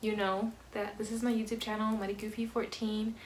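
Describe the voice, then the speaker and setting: Soft-spoken and monotone, a woman with a fairly high pitch talks at a moderate pace amid noticeable background noise and audible room echo. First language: Spanish. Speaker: vlogger. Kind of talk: casual Q&A vlog. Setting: at home, family in next room. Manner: soft-spoken, quiet.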